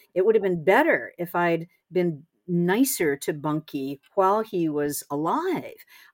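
Here is a woman with an ordinary speaking voice and a fairly low pitch. Her pace is fairly slow and her intonation lively. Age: 60s. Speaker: essayist and author. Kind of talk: interview conversation.

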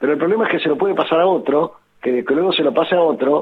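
A man in an Argentine accent at a very fast pace, with ordinary pitch variation. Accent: Rioplatense Argentine Spanish. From Argentina. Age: 70s. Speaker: infectious disease doctor. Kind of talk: interview.

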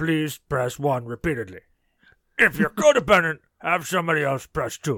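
Putting on a character voice, a man talks at a moderate pace in a fairly high pitch.

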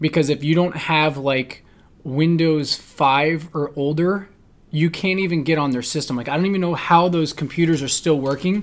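At a moderate pace, an ordinary speaking voice carries an American accent and fairly even intonation. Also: man, fairly high pitch for a man. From New Jersey. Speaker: podcast host, firearms instructor. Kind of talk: casual chat.

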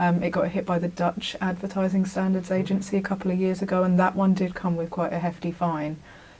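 A woman's somewhat breathy, dark, mellow voice at a medium pitch, monotone and flat, at a very fast pace with hardly any pauses. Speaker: podcast host and journalist. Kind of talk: casual interview. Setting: recording from home.

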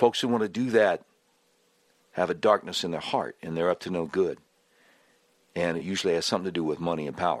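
Against a quiet background, a man with a very deep, low voice speaks very fast with ordinary pitch variation and long, frequent pauses. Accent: American. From Charlotte, North Carolina. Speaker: fill-in talk radio host. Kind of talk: political talk radio monologue. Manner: animated, excitable.

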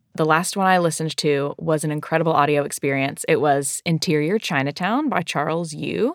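A woman with an American accent and a very deep, low pitch speaks at a fairly quick pace with hardly any pauses and ordinary pitch variation. The sound is dry and close with no echo, in a very clean recording over a silent background. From US South. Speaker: church worker and co-author of prayer book. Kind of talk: casual conversation.

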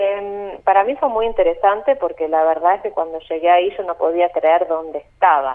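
Using a plain, everyday voice, a woman speaks at a medium pitch and moderate pace, with ordinary pitch variation and hardly any pauses. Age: 30s. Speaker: tour guide. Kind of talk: phone interview. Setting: phone call.

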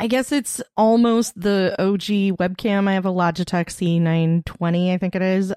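An ordinary speaking voice comes through at a moderate pace with a dry, close sound with no echo. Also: woman. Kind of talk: casual chat. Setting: video call.

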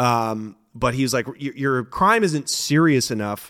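On a very clean recording with a silent background, a man with a West Coast accent speaks at a medium pitch with ordinary pitch variation. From Portland, Oregon. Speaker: former drug dealer and comedian. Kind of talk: interview storytelling.

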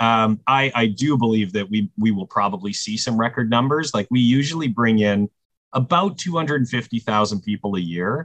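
A man speaks at a medium pitch and a moderate pace, with ordinary pitch variation. He has an unremarkable speaking voice. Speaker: festival executive director. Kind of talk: casual interview chat.

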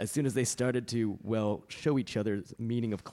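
Here a voice reads in a natural manner.

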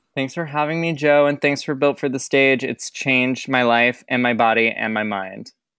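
Recorded very cleanly with a silent background, a speaker with an American accent talks at a moderate pace with hardly any pauses. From Michigan, US Midwest. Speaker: Broadway performer, swing. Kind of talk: casual interview chat.

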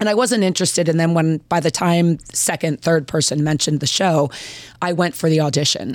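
With an American accent and a plain, everyday voice, a woman speaks at a fairly quick pace in a fairly low pitch, with ordinary pitch variation and very even loudness. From Baltimore-Washington area, US. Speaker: professional wrestler. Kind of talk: casual chat.

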